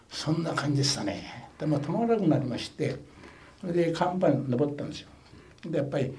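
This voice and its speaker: With audible room echo and noticeable background noise, a man speaks fairly quickly at a fairly high pitch, showing ordinary pitch variation and big swings in loudness. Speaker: war veteran. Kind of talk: testimony.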